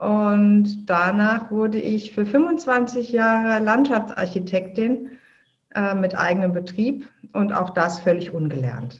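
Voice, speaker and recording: A woman speaks at a very slow pace with lively intonation. Her medium-pitched voice is somewhat breathy. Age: 50s. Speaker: filmmaker and podcaster. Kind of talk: interview.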